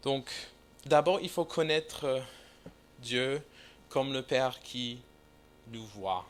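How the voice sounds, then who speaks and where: Speaking at a very slow pace with long, frequent pauses, a man with a non-native accent uses a medium pitch and ordinary pitch variation. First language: English (speaking French). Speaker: visiting preacher. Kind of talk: sermon. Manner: halting, many hesitations.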